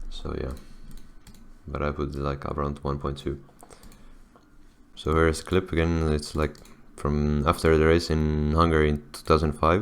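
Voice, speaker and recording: A man's very deep, low voice with a non-native accent, monotone and flat, broken by long, frequent pauses. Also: moderate pace. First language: not English. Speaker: video editing tutorial creator. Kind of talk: tutorial. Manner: halting, many fillers and restarts; casual.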